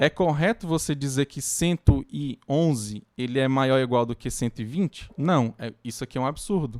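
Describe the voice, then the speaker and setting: The recording is very clean with a silent background and a dry, close sound with no echo, as a man speaks at a moderate pace with ordinary pitch variation. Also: medium pitch for a man, hardly any pauses. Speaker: university lecturer. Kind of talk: lecture. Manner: halting.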